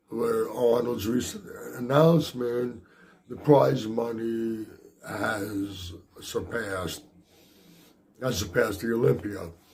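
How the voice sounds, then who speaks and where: A man with a medium pitch and ordinary pitch variation speaks at a very slow pace with long, frequent pauses. Noticeable background noise and audible room echo fill the recording. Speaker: bodybuilding commentator. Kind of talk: vlog commentary.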